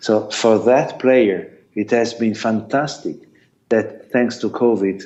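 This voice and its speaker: Very slowly and with an Italian accent, a man speaks at a fairly low pitch amid audible room echo. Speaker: sports lawyer and arbitrator. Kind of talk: conference talk Q&A. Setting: video call. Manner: halting.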